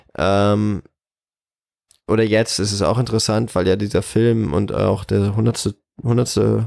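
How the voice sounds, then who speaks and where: Speaking very slowly, a man uses long, frequent pauses. His pitch is fairly low, and the recording is very clean with a silent background. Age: 20s. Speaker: cinema manager. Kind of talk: interview.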